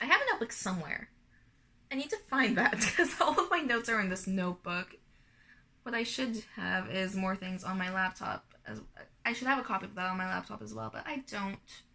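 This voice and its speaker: A woman at a fairly quick pace, with big swings in loudness and noticeable background noise. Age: 20s. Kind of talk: casual vlog monologue. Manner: unscripted, rambling with fillers.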